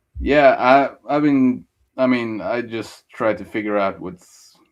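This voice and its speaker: With a Norwegian accent, a man talks at a very slow pace over a quiet background. His intonation stays fairly even. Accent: Scandinavian (Norwegian), noticeable. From Norway. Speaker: stream participant. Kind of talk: casual chat. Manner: halting.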